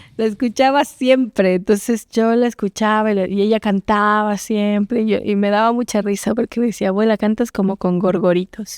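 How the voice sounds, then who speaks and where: Her voice is an unremarkable speaking voice, fairly high in pitch, with fairly even intonation and very even loudness. The woman keeps a moderate pace with hardly any pauses, and the sound is dry and close with no echo. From Oaxaca, Mexico. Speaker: singer-songwriter and actress. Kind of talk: interview answer.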